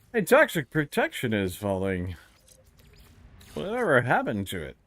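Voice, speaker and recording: A man at a moderate pace in a dry, close sound with no echo. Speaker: video game streamer. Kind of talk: live gaming stream commentary.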